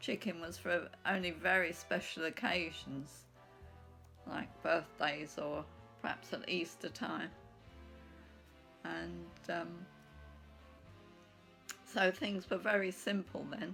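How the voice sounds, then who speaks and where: A woman speaks at a very slow pace with long, frequent pauses while music plays in the background. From England. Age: 80s+. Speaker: blogger. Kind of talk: casual talk to camera.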